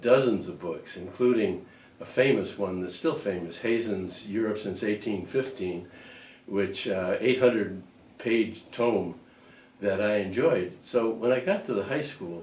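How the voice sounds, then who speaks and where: The man speaks with a Midwestern American accent at a fairly low pitch. Audible room echo surrounds his voice. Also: ordinary pitch variation, fairly slow pace. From US Midwest, Lakewood, Ohio. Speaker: retiree reminiscing. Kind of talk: oral history interview. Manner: halting, with frequent fillers.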